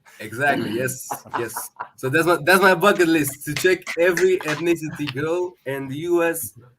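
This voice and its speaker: Moderate pacing from a man whose voice sits fairly high in pitch. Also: ordinary pitch variation. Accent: Romanian. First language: Romanian. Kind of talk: casual chat. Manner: halting.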